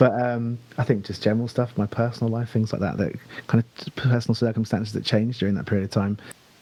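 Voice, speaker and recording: A man's very fast speech in a British accent. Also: medium pitch for a man, fairly even intonation. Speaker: singer in a band. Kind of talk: podcast interview. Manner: hesitant, many fillers.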